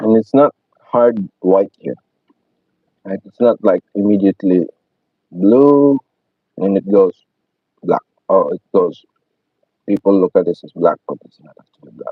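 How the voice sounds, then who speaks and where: A man with a non-native accent and fairly low pitch speaks at a fairly slow pace with long, frequent pauses, big swings in loudness and ordinary pitch variation. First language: not English. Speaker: painting instructor. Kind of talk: tutorial. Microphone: poor mic, hoping for a better one.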